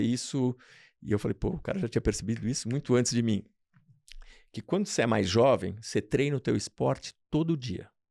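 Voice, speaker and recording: A man with a medium pitch and a dark, mellow tone talks at a fairly quick pace, heard in a very clean recording with a silent background and a dry, close sound with no echo. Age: 60s. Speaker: radiologist. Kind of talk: interview.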